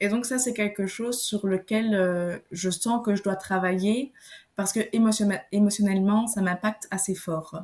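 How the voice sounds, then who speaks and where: A woman speaks at a medium pitch in a somewhat breathy voice. Her pace is fairly slow and her intonation fairly even. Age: 20s. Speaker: naturopath. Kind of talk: podcast interview.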